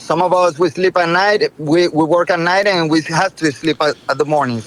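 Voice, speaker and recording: Over noticeable background noise, a man with a Spanish accent talks high for a man at a moderate pace, with ordinary pitch variation and very even loudness. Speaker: inventor, entrepreneur. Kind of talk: interview, product story.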